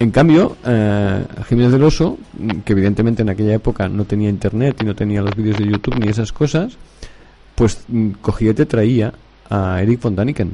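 A man's fairly quick speech carries ordinary pitch variation. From Barcelona, Catalonia. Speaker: radio host. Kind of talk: casual chat.

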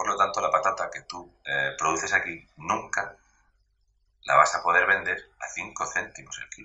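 Moving at a fairly slow pace, a man with an extremely high pitch keeps fairly even intonation while his loudness swings widely. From Spain, Murcia. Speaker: social media commentator on agriculture. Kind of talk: casual interview.

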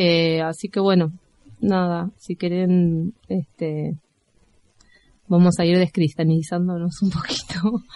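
Fairly low-pitched female voice with a dark, mellow tone, very slow and flat, with long, frequent pauses. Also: dry, close sound with no echo. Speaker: community radio co-host. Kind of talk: casual radio chat.

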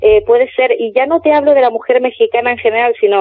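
This is a woman with a high-pitched voice. Her intonation is lively. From Canary Islands, Spain. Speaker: business coach. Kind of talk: interview. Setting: phone call.

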